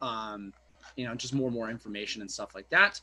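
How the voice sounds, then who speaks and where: A man talks at a very fast pace in a bright, sharp tone, keeping his intonation fairly even. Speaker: online business coach. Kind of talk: webinar tutorial. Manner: casual.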